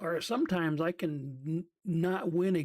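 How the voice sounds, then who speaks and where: The speaker is a man whose voice is high in pitch. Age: 60s. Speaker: gaming streamer. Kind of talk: live gameplay commentary. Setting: live stream. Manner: hesitant, many fillers.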